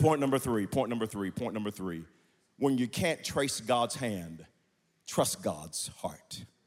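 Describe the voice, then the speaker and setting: An animated man with an American accent, medium-pitched, his pitch swinging very widely at a fairly slow pace. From Oklahoma (Wewoka). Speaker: pastor. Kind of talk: preacher sermon, rousing guest pulpit message with scripture and numbered points. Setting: stage with audience. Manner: emphatic, repetitive call-and-response preaching cadence.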